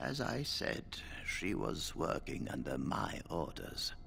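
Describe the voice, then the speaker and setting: Through clear background noise, a man does a put-on character voice at a fairly slow pace. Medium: video game. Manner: calm, paternal.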